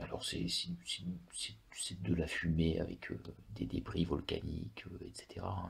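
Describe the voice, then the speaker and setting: A man is whispering. His voice stays a whisper. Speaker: ASMR creator. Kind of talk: ASMR travel talk about a country. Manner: whispered; hesitant, many filler words.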